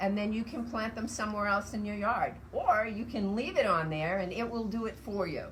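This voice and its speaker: There is noticeable background noise and audible room echo as a woman speaks at a medium pitch. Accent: American. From Massachusetts. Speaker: native plant nursery owner. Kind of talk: guided tour explanation. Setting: outdoors in woodland nursery. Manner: casual, conversational.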